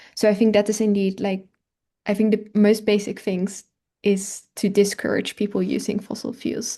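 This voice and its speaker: A woman with a Dutch accent speaks at a moderate pace and medium pitch, with a dark, mellow, somewhat breathy tone, monotone, flat intonation and a quiet background. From Netherlands. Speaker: climate and health researcher. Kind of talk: webinar Q&A. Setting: online webinar.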